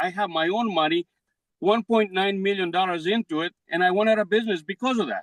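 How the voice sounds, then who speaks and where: In a Greek accent, a man talks at a fairly quick pace in a high voice with ordinary pitch variation. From Greece. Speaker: defendant business owner. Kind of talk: court hearing. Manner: halting.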